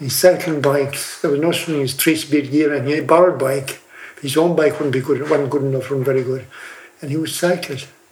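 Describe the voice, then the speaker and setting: Over noticeable background noise, a man with a fairly high pitch speaks very fast in a monotone, flat intonation. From Doolin, County Clare, Ireland. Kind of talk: recalling a memory.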